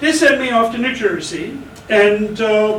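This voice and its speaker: Noticeable background noise and audible room echo surround a voice whose pitch varies in an ordinary way. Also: man. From Germany, then rural Minnesota from age 10. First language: German. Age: 70s. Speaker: army veteran. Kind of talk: personal storytelling. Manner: casual with frequent fillers.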